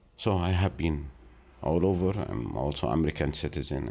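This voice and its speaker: This is a man speaking. His intonation is lively. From Gaza Strip, Palestine. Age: 60s. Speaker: former journalist and TV producer. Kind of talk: interview. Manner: halting with fillers.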